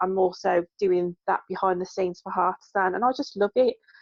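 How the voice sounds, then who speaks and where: A woman with a West Midlands accent, fairly even intonation, and a dry, close sound with no echo. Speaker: NHS worker and craft business owner. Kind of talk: casual interview chat.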